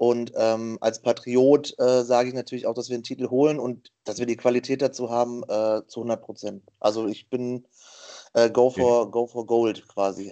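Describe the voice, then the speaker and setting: A man's medium-pitched voice at a moderate pace, monotone and flat in intonation. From western Germany. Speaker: quiz contestant, streamer. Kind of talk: casual quiz show chat. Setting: Skype call.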